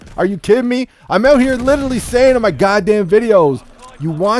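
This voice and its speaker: A man speaks with lively intonation while noticeable background noise is heard. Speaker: gaming YouTuber. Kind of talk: profane gaming rant about leaked gameplay, building to a heated vent. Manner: fired-up, exasperated, swearing and piling up run-on clauses.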